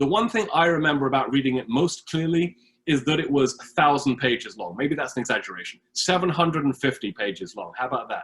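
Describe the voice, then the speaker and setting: A man with a British accent talks at a very fast pace, his fairly high voice carried by lively intonation. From Britain. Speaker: history professor. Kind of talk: lecture.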